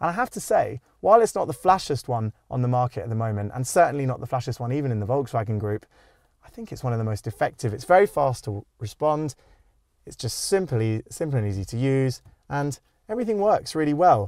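Very fast speech from a man, with big swings in loudness, in a dry sound with no echo against a quiet background. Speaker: car reviewer. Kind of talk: car review presentation. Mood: upbeat, friendly. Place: car. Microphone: lapel.

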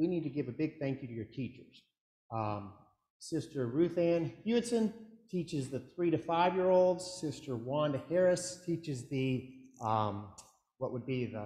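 A man speaks at a moderate pace with lively intonation and a dark, mellow, somewhat breathy tone. Room echo is audible, though the background is quiet. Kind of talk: welcome address to the congregation. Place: church. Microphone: camera far.

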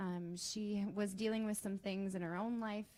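A soft-spoken woman at a medium pitch, with monotone, flat intonation and a moderate pace. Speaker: teacher. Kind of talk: testimony.

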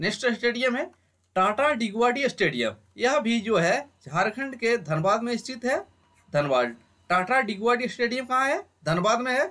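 A fairly bright tone at a moderate pace, with big pitch swings and few pauses.

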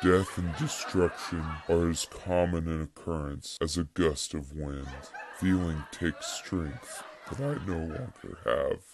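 Very deep, low pitch and a fairly slow pace in a man's put-on character voice. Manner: bleak, somber monologue.

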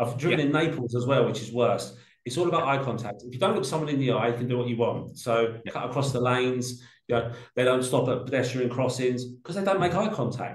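Speaking very fast in a London accent, a man keeps a medium pitch with ordinary pitch variation. Room echo is audible. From South London (Peckham). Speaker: art logistics company director. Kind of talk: casual interview chat.

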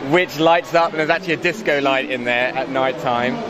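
With clear background noise behind him, a man speaks fairly quickly at a medium pitch with ordinary pitch variation.

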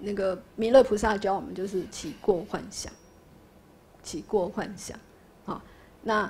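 Pausing long and often, a woman speaks at a fairly slow pace with fairly even intonation and big swings in loudness. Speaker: Buddhist lay lecturer. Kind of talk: lecture and class discussion. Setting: classroom with students. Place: classroom. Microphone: studio mic.

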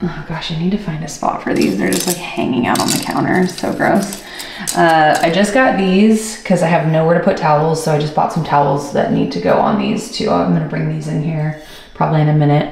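Speech comes at a fairly quick pace with audible room echo. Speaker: home vlogger. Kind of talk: casual vlog chat. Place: bathroom. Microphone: phone near.

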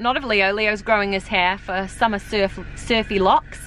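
A woman's tone is bright and sharp, her intonation fairly even and her pace moderate. The sound is dry with no echo, with light background noise. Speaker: family vlogger. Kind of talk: casual vlog chat. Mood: playful, amused. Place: car. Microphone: phone near.

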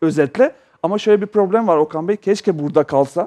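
A man's voice, dark and mellow in tone, moves at a fairly quick clip with ordinary pitch variation against a quiet background. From Yugoslavia. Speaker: data technology expert; talk show guest. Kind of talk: TV panel discussion. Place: studio. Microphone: headset.

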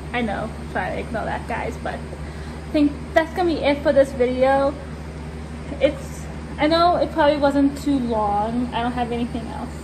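Noticeable background noise runs beneath a woman speaking at a moderate pace. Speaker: vlogger. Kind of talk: casual vlog chat. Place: farm machine. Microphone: phone near.

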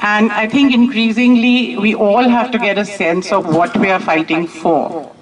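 A woman talks at a fairly slow pace. Noticeable background noise runs behind her. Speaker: professor addressing protest gathering. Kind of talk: public speech. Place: street. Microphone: handheld.

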